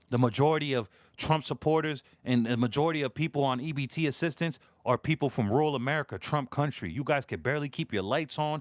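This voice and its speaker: Fairly high-pitched with vocal fry, a man speaks at a fairly quick pace with ordinary pitch variation. The sound is dry and close with no echo, on a very clean recording against a silent background. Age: 40s. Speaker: political live-stream host. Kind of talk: live stream political commentary. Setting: live stream.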